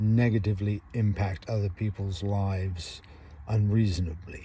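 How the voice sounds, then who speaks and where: His tone is dark, mellow and somewhat breathy. The man speaks at a very slow pace. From England. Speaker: vlogger. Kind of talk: casual monologue. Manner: halting, with many fillers.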